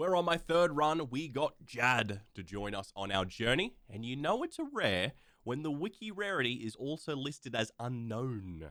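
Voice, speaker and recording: A man with a fairly high pitch, a bright, sharp tone, a moderate pace and an Australian accent. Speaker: gaming YouTuber. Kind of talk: gameplay commentary voice-over.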